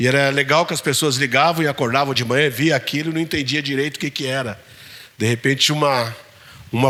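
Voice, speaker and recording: A man speaks at a medium pitch with fairly even intonation. It is a normal speaking voice. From São Paulo city, south zone periphery. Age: 60s. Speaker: poet. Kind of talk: Q&A talk with audience.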